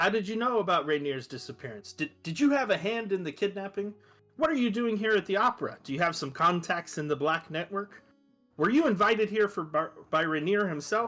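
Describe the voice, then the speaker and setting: Shouting loudly in a put-on character voice, a man sounds squeaky and high-pitched, with lively intonation and a fairly quick pace while faint music plays in the background. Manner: loud, accusatory, shouting.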